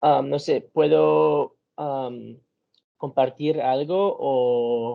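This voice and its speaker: Speaking very slowly, a man talks with an English accent. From United States. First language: English (speaking Spanish). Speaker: research assistant. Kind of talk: presentation. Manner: halting.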